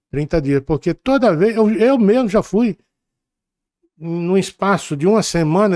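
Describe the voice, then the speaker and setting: The sound is dry and close with no echo as a man talks with lively intonation. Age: 70s. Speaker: podcast host. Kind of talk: interview. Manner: halting, stammering.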